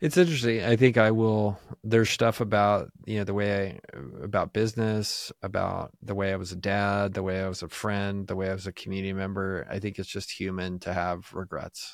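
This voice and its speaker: Someone talks in a plain, everyday voice at a fairly quick pace with hardly any pauses and fairly even intonation. The recording is very clean, with a silent background. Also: man, fairly low pitch for a man. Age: 40s. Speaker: entrepreneur. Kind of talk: interview conversation.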